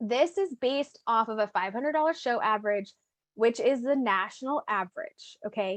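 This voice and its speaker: An upbeat, high woman's voice with lively intonation over a quiet background. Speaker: direct sales team leader. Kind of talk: motivational team call presentation. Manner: casual, upbeat.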